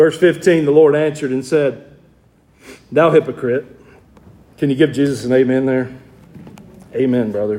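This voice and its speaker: With a Southern US accent, a man speaks in a fairly high voice at a moderate pace, with fairly even intonation and long, frequent pauses. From US South, Georgia. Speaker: pastor. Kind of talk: sermon. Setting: church.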